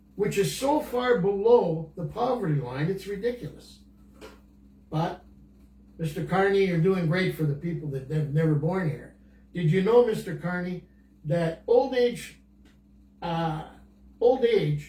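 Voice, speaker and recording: A man talks at a fairly slow pace with long, frequent pauses, his high-pitched voice dark and mellow in tone yet lively in intonation. The room echo is audible. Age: 80s+. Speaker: senior guest on podcast. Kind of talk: casual chat. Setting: Facebook Live video call. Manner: animated; halting.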